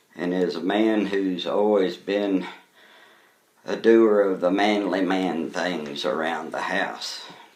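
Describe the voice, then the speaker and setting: In an American accent, a man with a fairly low pitch speaks at a very slow pace, with audible room echo. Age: 60s. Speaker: vlogger. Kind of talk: casual talk to camera. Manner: folksy, conversational.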